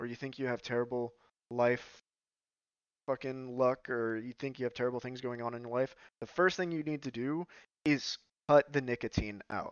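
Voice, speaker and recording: A man with a medium pitch speaks at a moderate pace with fairly even intonation and long, frequent pauses. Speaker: podcaster and graduate student. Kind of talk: casual monologue. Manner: halting.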